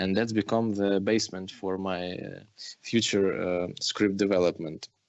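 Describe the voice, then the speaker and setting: A man talks with a Ukrainian accent at a fairly low pitch. His intonation stays fairly even. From Ukraine. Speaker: film director. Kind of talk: interview. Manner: halting, many fillers and restarts.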